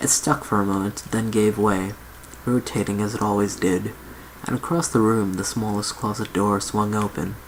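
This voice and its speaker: The speaker is soft-spoken and keeps a moderate pace. Background noise is noticeable. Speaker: ASMR reader. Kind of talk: read story.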